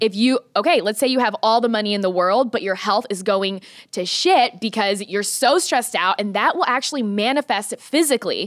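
A woman's fairly high voice with an American accent, a plain, everyday voice, lively intonation and a fairly quick pace with hardly any pauses. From Missouri, US Midwest. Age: 20s. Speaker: lead trainer for hairstylists. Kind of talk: podcast interview. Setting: studio.

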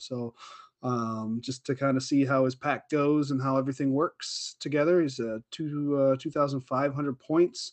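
A normal speaking voice at a fairly slow pace, with ordinary pitch variation over a quiet background. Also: man. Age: 40s. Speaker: wargaming podcast co-host. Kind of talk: casual chat.

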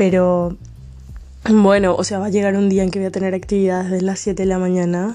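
A woman speaks at medium pitch. Her intonation is flat and monotone. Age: 20s. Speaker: podcaster. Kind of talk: casual monologue. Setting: at home late at night.

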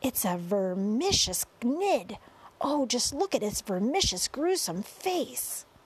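In a put-on character voice, a woman speaks slowly at a fairly high pitch, with big pitch swings and a slightly husky edge.

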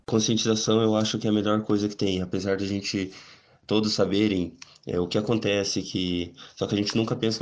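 The speaker goes at a very fast pace with monotone, flat intonation. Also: man. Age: 20s. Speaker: para-athlete. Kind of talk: interview testimony. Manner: halting.

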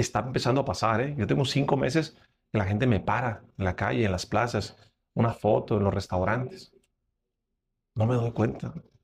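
Lively intonation and vocal fry mark this man's voice. His loudness stays very even, broken by long, frequent pauses. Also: medium pitch for a man, moderate pace. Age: 30s. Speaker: podcast host and speaker. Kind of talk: casual interview chat.

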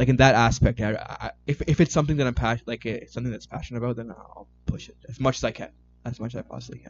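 With a Canadian accent, a man talks at a very fast pace using vocal fry, ordinary pitch variation and big swings in loudness. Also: medium pitch for a man. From Canada, Toronto. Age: 20s. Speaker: IT worker and amateur photographer. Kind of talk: casual chat.

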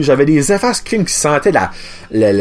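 A man talks in an animated tone with a fairly high pitch at a moderate pace. Noticeable background noise can be heard. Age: 30s. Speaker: podcast host. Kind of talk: casual chat.

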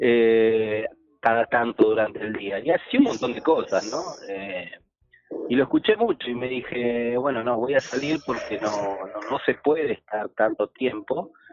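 A man talks at a fairly slow pace. Music is playing behind him. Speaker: trophey maker, sponsor. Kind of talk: radio interview by phone.

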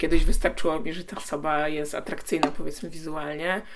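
A woman's fairly low voice with a bright, sharp tone, at a moderate pace. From Poland. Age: 20s. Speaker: TikToker and activist. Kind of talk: interview.

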